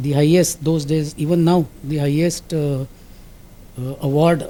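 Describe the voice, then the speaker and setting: Slow-ish and marked by long, frequent pauses, the speech has an Indian accent, a dark, mellow tone and fairly even intonation. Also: man. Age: 80s+. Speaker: industrial safety officer. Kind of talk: interview answer.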